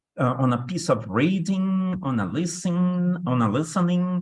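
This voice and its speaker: In a quiet background, a man with a Brazilian accent talks at a fairly slow pace with lively intonation. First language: Portuguese. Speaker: English test instructor. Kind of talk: online workshop lecture. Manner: hesitant, many fillers.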